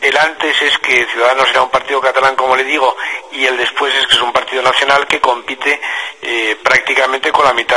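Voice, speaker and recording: A man speaks over noticeable background noise. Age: 50s. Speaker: politician. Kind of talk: radio interview. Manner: hesitant, many fillers.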